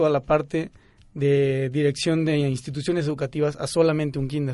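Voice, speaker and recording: A man speaks at a moderate pace with a fairly high pitch. His intonation is monotone and flat, with music in the background. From Mexico, Querétaro. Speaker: pedagogy student. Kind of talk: casual chat. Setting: studio.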